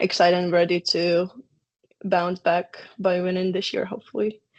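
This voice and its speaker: With a Ukrainian accent, a woman speaks at a moderate pace in a medium-pitched voice. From Ukraine. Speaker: college soccer player. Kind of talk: interview.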